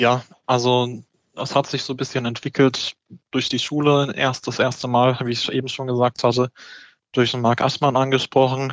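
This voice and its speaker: At medium pitch and a moderate pace, a man speaks in a monotone, flat intonation, the sound dry and close with no echo in a very clean recording with a silent background. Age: 20s. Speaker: local election candidate, law student. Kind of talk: interview. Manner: hesitant, many filler words.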